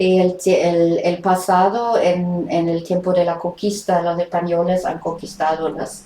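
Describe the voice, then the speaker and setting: Against noticeable background noise, a woman speaks in a German accent at a fairly slow pace. Her fairly low voice stays monotone, with flat intonation. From Germany. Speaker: writer and documentary maker. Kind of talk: interview. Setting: remote interview from home. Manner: halting, many hesitations.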